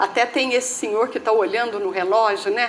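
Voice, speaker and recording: A woman with very wide pitch swings over noticeable background noise. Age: 70s. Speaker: spiritist lecturer. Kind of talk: talk at a spiritist center.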